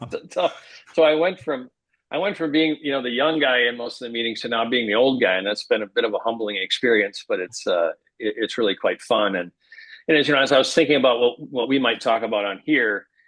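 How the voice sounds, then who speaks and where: Words come very fast, with ordinary pitch variation. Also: man, medium pitch for a man. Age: 60s. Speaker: healthcare business executive. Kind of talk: casual chat.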